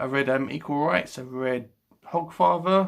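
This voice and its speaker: With a British accent, a man speaks at a medium pitch and ordinary pitch variation on a very clean recording with a silent background. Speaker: book vlogger. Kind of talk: casual chat. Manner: halting.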